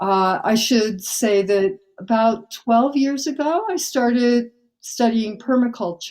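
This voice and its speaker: Here a woman speaks with ordinary pitch variation. She keeps a very slow pace. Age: 70s. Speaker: climate activist. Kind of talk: interview. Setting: remote call in the middle of the night.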